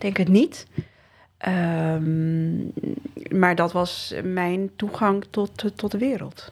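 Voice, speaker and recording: Her medium-pitched voice moves very slowly, the woman keeping her intonation fairly even. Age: 40s. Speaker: municipal urban development manager. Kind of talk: interview conversation. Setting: kitchen table at home. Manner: halting.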